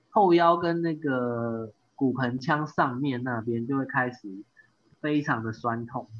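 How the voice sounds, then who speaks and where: With a Taiwanese accent, a man talks at a very slow pace. His medium pitch shows ordinary variation. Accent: Taiwanese Mandarin. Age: 30s. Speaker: amateur triathlete. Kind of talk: casual interview chat.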